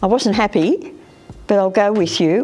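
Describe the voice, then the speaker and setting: With music playing in the background, a woman of medium pitch speaks at a moderate pace with ordinary pitch variation. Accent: Australian. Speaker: retired hairdresser. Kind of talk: interview. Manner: casual storytelling.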